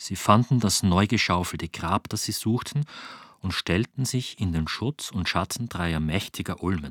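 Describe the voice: Plain reading aloud comes through with lively intonation.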